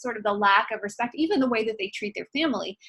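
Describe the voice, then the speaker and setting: A woman's fairly high voice, bright and sharp in tone, with ordinary pitch variation. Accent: American. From Indiana, rural. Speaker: university instructor. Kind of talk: recorded lecture. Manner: casual, many fillers.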